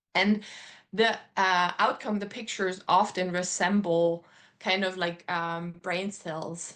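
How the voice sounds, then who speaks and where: With a German accent, a woman speaks at a fairly slow pace against a quiet background. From Germany. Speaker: artist. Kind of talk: interview.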